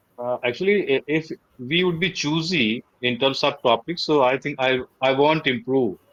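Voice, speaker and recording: Fairly high male voice, ordinary pitch variation, moderate pace. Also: dry, close sound with no echo. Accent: Indian. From India, Madhya Pradesh. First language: Hindi. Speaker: English learner. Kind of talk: tutoring session. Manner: halting.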